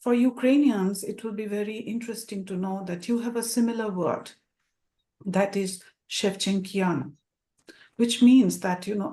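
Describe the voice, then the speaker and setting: With a Bengali accent, a woman speaks at a moderate pace in a dark, mellow tone of medium pitch with ordinary pitch variation. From India (Bengal). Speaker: academic presenter. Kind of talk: presentation. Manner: hesitant, many fillers.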